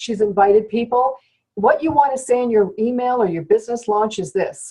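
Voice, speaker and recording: A woman's fairly quick, fairly high-pitched delivery in a normal speaking voice, with ordinary pitch variation. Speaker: network marketing trainer. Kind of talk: sales training talk. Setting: conference call.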